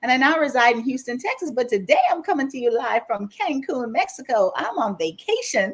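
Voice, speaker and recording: With a Bahamian accent, a woman speaks at a high pitch in an animated tone with very wide pitch swings. Her pace is fairly quick, with hardly any pauses. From Bahamas, Grand Bahama. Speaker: life coach. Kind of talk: casual chat.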